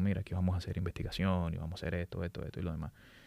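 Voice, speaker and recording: Very fast speech comes from a man with a Dominican accent and a dark, mellow tone. The recording is very clean, with a silent background. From Dominican Republic, raised in Santo Domingo. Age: 40s. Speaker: aerospace engineer and lecturer. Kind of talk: casual interview.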